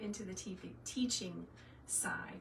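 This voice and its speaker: There is audible room echo and noticeable background noise. A woman of medium pitch talks with a slight Southern US accent. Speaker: craft tutor, former teacher. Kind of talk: live tutorial. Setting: livestream. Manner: animated.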